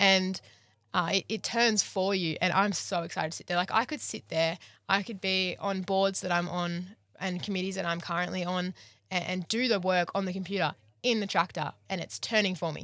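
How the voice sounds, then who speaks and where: A woman with an Australian accent speaks in a bright, sharp tone with fairly even intonation. The recording is very clean, with a silent background. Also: medium pitch for a woman, moderate pace. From rural New South Wales, Australia. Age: 20s. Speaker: agriculture student. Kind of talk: interview. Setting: mobile podcast van at a field day. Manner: loud.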